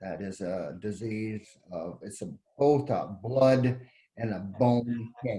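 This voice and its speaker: A man's somewhat breathy, dark, mellow tone at a fairly low pitch, very slow, with ordinary pitch variation and big swings in loudness. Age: 70s. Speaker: cancer survivor. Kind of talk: testimony. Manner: halting.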